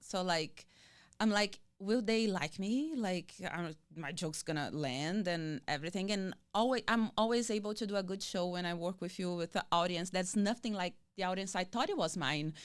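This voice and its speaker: A woman with a Brazilian accent talks at a moderate pace, her medium pitch varying in an ordinary way. The recording is very clean, with a silent background. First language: Portuguese. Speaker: comedian and actress. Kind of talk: interview answer.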